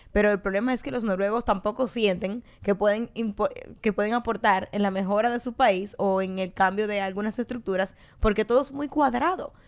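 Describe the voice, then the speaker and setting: A woman speaks in a normal speaking voice at medium pitch and a moderate pace, with ordinary pitch variation, in a very clean recording with a silent background. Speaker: political podcast co-host, party member. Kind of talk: casual political discussion.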